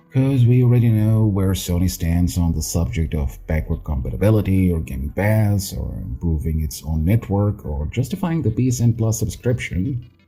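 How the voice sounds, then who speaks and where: With a non-native accent, a man speaks at a moderate pace in a fairly low pitch. His pitch swings very widely, and music plays in the background. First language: not English. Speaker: gaming YouTuber. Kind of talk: casual game commentary.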